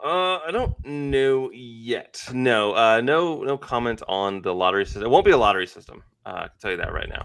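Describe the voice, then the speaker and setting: A man talks at a moderate pace with hardly any pauses. His intonation is lively and his loudness swings widely. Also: medium pitch for a man. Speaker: company host presenting products. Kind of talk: casual livestream chat.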